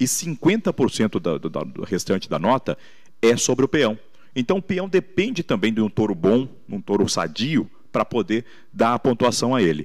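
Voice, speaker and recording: Against a quiet background, the speaker uses vocal fry at a fairly slow pace with very wide pitch swings. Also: man, medium pitch for a man. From Brazil, São Paulo state (Santo André); São Paulo state, Brazil. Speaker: radio announcer and rodeo emcee; radio announcer, rodeo emcee. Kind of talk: interview. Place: studio. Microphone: handheld.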